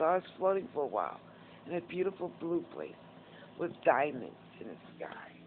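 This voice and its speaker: A woman with a New York accent and a fairly low pitch speaks at a fairly quick pace, with ordinary pitch variation. Her loudness swings widely, and she takes long, frequent pauses. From Northeast Bronx, New York. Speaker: vlogger. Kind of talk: casual talk to camera, personal story. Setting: hospital / rehab.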